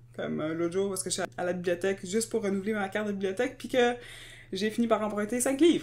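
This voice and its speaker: In a Quebec accent, a woman speaks at a very fast pace and medium pitch, with very wide pitch swings and vocal fry. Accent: Québécois French. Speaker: podcast co-host. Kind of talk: casual chat.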